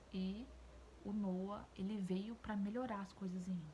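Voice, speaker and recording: A woman speaks fairly slowly at a medium pitch, her intonation monotone and flat. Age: 20s. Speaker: YouTuber, mother of two. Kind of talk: casual vlog commentary to camera.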